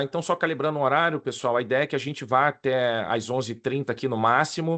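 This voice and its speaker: A man with a Carioca accent speaks at a moderate pace in a medium pitch with ordinary pitch variation. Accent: carioca Rio. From Rio de Janeiro, Brazil. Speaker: risk management consultant and lecturer. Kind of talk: online presentation to professionals. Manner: casual, informal.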